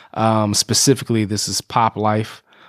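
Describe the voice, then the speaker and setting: Recorded very cleanly against a silent background, with a dry, close sound and no echo, a man with an American accent speaks at a fairly low pitch. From US, Prince George's County, Maryland (DC area). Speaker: podcast host. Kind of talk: casual interview. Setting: studio. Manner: halting, many fillers and repetitions.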